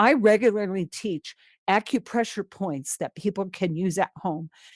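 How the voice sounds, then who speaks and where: A plain, everyday voice at a moderate pace, with a dry, close sound and no echo. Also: woman, very clean recording, silent background. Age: 60s. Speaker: veterinarian, pain management lecturer. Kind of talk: conference lecture.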